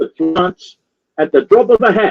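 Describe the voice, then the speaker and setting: Here a man speaks with an Australian accent. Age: 60s. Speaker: activist. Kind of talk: political talk show interview. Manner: repetitive, emphatic.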